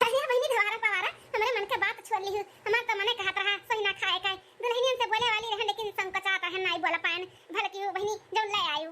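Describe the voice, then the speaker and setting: A woman does a cartoonish character voice at an extremely high pitch. She talks at a fairly quick pace with fairly even intonation. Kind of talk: rustic cartoon comedy. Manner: homely, exclamatory.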